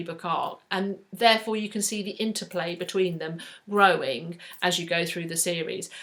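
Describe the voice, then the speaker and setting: A woman's bright, sharp tone at a moderate pace. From South East England, northern (Manchester) family. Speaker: book vlogger. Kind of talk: casual chat to camera.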